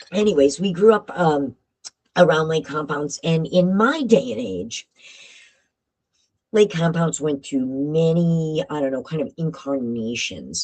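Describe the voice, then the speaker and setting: Using an American accent, a woman with a very deep, low voice speaks fairly slowly with long, frequent pauses and lively intonation. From Connecticut, Bristol. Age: 60s. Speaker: paranormal live streamer. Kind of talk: live stream storytelling. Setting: home live stream with green screen. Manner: casual, rambling with fillers.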